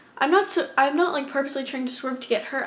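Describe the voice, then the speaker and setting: A woman speaks with noticeable background noise present. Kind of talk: casual storytime talk to camera. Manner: stuttering, hesitant.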